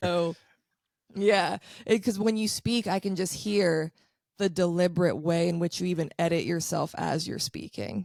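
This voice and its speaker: Animated tone in a dry, close sound with no echo. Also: woman, fairly low pitch for a woman, ordinary pitch variation. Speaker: astrologer. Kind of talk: casual chat. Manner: fast.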